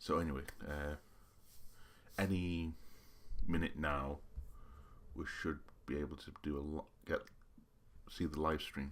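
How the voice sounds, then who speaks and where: At a fairly slow pace, a man talks in a very deep, low voice with monotone, flat intonation and long, frequent pauses. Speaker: YouTuber. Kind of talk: live reaction commentary. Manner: halting.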